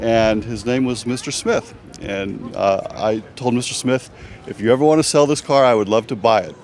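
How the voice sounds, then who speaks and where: Noticeable background noise surrounds a man speaking at a moderate pace. His pitch is medium, with ordinary pitch variation. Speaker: classic car owner. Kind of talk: interview.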